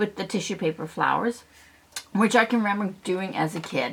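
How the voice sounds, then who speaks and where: A woman's normal speaking voice, fairly quick in pace, with lively intonation. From south central Ontario, Canada. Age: 60s. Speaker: craft YouTuber. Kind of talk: casual craft tutorial.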